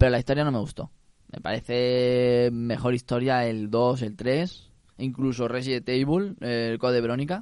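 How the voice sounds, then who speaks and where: A man talks with an ordinary speaking voice. His pitch is medium and its variation is ordinary. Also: moderate pace. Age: 20s. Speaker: video game enthusiast. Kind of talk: casual chat.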